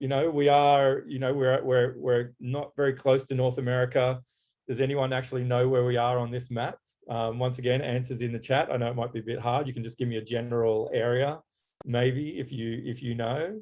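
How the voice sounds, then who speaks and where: A man with an Australian accent speaks fairly quickly at a medium pitch, his intonation fairly even. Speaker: graphic designer. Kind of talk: webinar presentation. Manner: halting.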